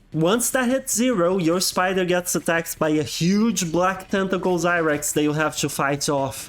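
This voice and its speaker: Lively intonation at a fairly slow pace, with a non-native accent. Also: man. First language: not English. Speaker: game reviewer. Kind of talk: video game review narration. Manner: casual, humorous.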